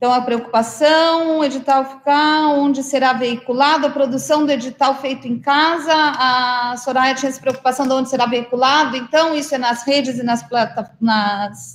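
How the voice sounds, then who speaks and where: A woman's high-pitched voice at a moderate pace, fairly even in intonation, with hardly any pauses. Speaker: state culture official chairing council meeting. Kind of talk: online council meeting.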